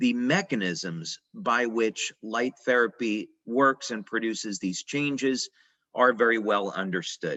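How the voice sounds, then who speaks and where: This man talks at a fairly slow pace, with medium pitch and ordinary pitch variation. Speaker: company founder presenting a product. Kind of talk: presentation/lecture. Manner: hesitant with filler words.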